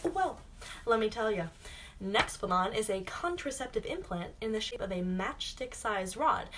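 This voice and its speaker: Noticeable background noise surrounds a woman with a fairly high pitch. She speaks at a moderate pace with very wide pitch swings. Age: 20s. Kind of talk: casual talk to camera.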